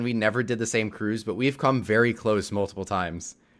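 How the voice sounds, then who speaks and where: Speaking at a fairly quick pace, a man has a plain, everyday voice with ordinary pitch variation. The recording is very clean, with a silent background. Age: 20s. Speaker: cruise podcast host. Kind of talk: casual chat.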